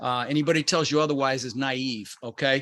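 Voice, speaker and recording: This is a man's voice. His pitch sits fairly high. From Denver, Colorado (immigrated from the Netherlands at six). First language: Dutch. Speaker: real estate investor and coach. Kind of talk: motivational talk. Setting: online video call.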